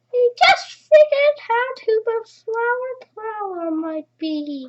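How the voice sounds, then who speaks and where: A man puts on a squeaky character voice, pitched extremely high and delivered at a fairly slow pace. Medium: read story.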